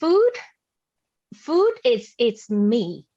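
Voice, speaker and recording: A woman speaks with a Vietnamese accent. Her intonation is lively. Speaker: forum speaker on food justice. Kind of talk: public talk. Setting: video call. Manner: halting, many fillers and repetitions.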